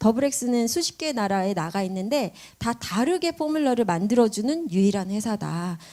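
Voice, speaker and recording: A woman speaks in a dark, mellow, fairly high voice with very wide pitch swings. The recording is very clean, the background silent. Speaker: business presenter. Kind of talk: sales pitch. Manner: fast.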